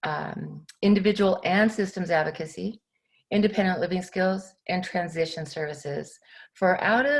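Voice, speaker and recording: Somewhat breathy, a woman at medium pitch speaks at a moderate pace with ordinary pitch variation. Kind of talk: presentation to a class. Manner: halting, many fillers.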